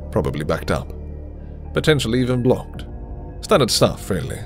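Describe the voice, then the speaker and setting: A man speaks with music in the background. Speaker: voice actor. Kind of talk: audiobook narration.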